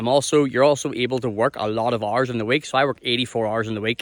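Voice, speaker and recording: A man with a Northern Irish accent at a very fast pace, medium in pitch, with fairly even intonation. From Ireland. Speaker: mining worker and content creator. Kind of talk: casual vlog explanation. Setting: outdoors on a beach. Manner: casual, repetitive with false starts.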